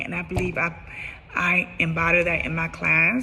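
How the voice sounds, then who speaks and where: A woman speaks with a fairly low pitch. The room echo is audible. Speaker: special education teacher. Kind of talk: self-assessment video monologue. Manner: halting, with fillers and restarts.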